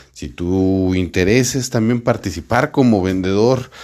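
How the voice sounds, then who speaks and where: A man with an ordinary speaking voice, lively intonation and a fairly slow pace. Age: 40s. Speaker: sales podcast host and sales coach. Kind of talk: solo podcast monologue. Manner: casual, warm with filler words.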